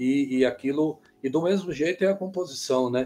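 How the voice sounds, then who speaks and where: A man with an unremarkable speaking voice talks at a moderate pace. His pitch is fairly high, with ordinary variation. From Bom Jardim, Brazil. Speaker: musician and composer. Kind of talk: interview.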